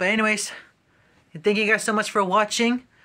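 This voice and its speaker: A man with a high pitch speaks in a raised, projected voice. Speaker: gaming vlogger. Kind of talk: casual vlog. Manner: animated. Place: home room. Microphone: phone near.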